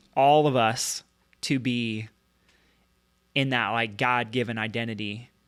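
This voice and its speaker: On a very clean recording with a silent background, a man at medium pitch speaks with long, frequent pauses. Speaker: chiropractor. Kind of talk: podcast conversation. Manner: fast; animated.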